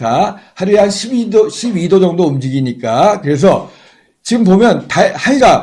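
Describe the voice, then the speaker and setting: Very slowly, a man talks in a high pitch, his voice making very wide pitch swings. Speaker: astronomy livestream commentator. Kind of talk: live commentary.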